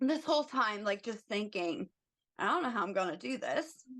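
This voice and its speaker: A woman with an American accent, an unremarkable speaking voice, lively intonation, and a moderate pace. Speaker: travel ICU nurse. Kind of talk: podcast interview answer.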